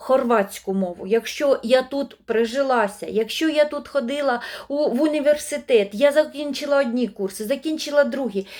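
A woman speaks at a moderate pace in a high voice with ordinary pitch variation. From eastern Ukraine, Luhansk region. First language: Russian (speaking Ukrainian). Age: 50s. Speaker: language-learning video blogger. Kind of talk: monologue to camera.

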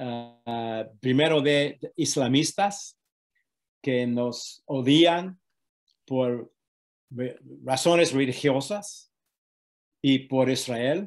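A man with an English accent speaks at a very slow pace in a medium pitch, leaving long, frequent pauses against a quiet background. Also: ordinary pitch variation. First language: English (speaking Spanish). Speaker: activist against antisemitism; interviewee. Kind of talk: interview. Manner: halting. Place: home room. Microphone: video call.

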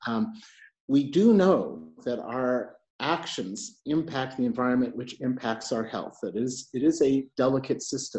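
Lively intonation marks this man's American accent. He speaks at a fairly slow pace. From New York. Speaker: moderator, arts and health lead at a health agency; moderator. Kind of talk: moderated panel discussion. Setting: video call from home. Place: home room. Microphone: earbuds.

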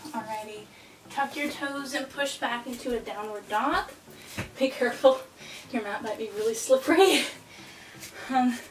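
With audible room echo and light background noise, a woman speaks at a high pitch and moderate pace, with ordinary pitch variation and long, frequent pauses. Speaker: fitness instructor. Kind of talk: workout instruction. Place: home room. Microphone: camera far.

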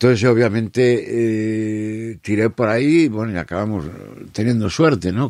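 Fairly slow in pace, this voice carries a dark, mellow tone. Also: man. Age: 60s. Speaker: musician and writer. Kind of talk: casual chat.

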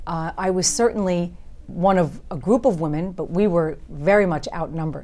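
A woman with a New York accent speaks in a dark, mellow tone at a fairly low pitch, with ordinary pitch variation. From Long Island, New York. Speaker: district attorney and congressional candidate; district attorney, candidate. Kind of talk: interview. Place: studio. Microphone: lapel.

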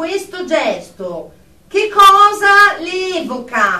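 In a put-on character voice with a bright, sharp tone, the speaker moves at a very slow pace through big pitch swings, with audible room echo around them. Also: woman, extremely high pitch for a woman.

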